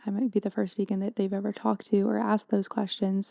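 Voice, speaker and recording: A woman with a medium pitch, a dark, mellow tone, fairly even intonation and a fairly quick pace. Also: dry, close sound with no echo. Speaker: podcast host. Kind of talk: podcast monologue. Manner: whispered; soft-spoken.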